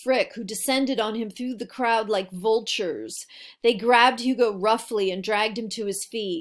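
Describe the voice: Here is plain reading aloud. The pitch varies in an ordinary way.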